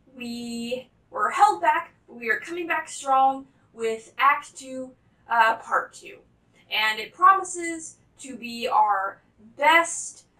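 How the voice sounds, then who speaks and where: A woman's raised, projected voice, bright and sharp, with lively intonation at a very slow pace against a quiet background. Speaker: volunteer host of a puppet production. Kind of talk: casual video announcement.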